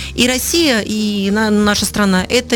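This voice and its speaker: There is noticeable background noise. A woman speaks at a fairly high pitch with ordinary pitch variation. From Kemerovo, Siberia, Russia. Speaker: communications agency owner and lecture speaker. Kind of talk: radio interview. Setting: radio studio.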